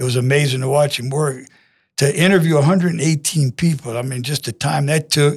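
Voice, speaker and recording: Speaking at a fairly quick pace with a Louisiana accent, a man with a fairly high, somewhat breathy voice and ordinary pitch variation comes through on a very clean recording with a silent background. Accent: Southern US (Louisiana). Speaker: high school football coach. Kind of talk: interview. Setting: studio. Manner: humble.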